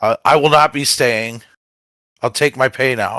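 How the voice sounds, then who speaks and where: A man's raspy, put-on character voice, medium in pitch, at a moderate pace. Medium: actual play. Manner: gruff, terse.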